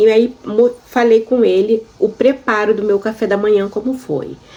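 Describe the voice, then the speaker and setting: A woman's fairly high voice in a monotone, flat intonation at a moderate pace, with noticeable background noise. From Brazil. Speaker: YouTuber sharing immigration experience. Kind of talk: personal storytelling vlog. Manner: conversational, addresses viewers.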